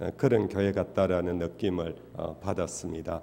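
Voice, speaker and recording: A man with a Daegu accent. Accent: Daegu Gyeongsang dialect. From Daegu, South Korea (Gyeongsang). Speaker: pastor. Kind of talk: sermon. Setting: church. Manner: frequent filler hesitations.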